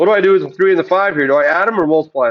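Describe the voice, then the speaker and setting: The man speaks with a high pitch. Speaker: math teacher. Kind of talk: lecture. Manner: loud, commanding teaching voice; fast.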